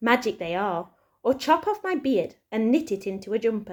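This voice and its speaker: A woman's put-on character voice, croaky and fairly high, with lively intonation at a moderate pace on a very clean recording with a silent background. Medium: read story.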